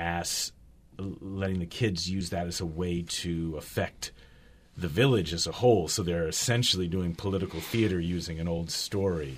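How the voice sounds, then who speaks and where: With an American accent, a man speaks at a moderate pace. His pitch is very deep and low, and his intonation fairly even. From US West Coast, Berkeley California. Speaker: clown and author. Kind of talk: interview. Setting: radio studio.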